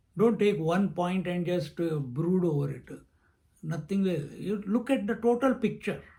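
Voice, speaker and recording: A man's high-pitched voice with a dark, mellow tone, ordinary pitch variation, a fairly slow pace and audible room echo. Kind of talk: lecture. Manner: thinking aloud, halting.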